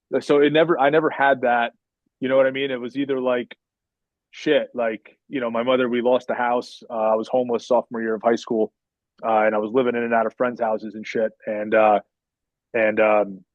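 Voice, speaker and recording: Fairly even in intonation, a man's medium-pitched voice moves at a fairly quick pace. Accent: New Jersey. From northern New Jersey, US. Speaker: podcast guest. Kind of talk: casual interview chat. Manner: halting, many fillers.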